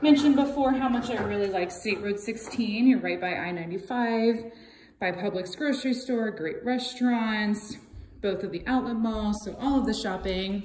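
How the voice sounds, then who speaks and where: A woman's voice at a fairly slow pace, ordinary pitch variation, audible room echo and light background noise. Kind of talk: property tour narration. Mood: upbeat, friendly. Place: home room. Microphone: phone near.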